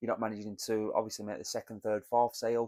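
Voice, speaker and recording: A man's fairly low, monotone voice in a British accent, delivered at a very fast pace with flat intonation, recorded dry and close with no echo on a very clean track with a silent background. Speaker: business mentor. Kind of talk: solo talk to camera, business advice. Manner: conversational, some hesitations.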